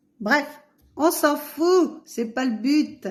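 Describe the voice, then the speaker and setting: The woman's voice is somewhat breathy, with lively intonation. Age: 60s. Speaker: vlogger, pilgrim. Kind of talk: casual vlog. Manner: hesitant, many fillers.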